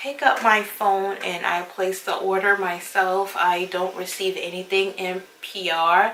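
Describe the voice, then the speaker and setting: Noticeable background noise sits under a woman's voice at medium pitch. She speaks at a fairly slow pace. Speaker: beauty YouTuber. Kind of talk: casual talk-through review. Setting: at home.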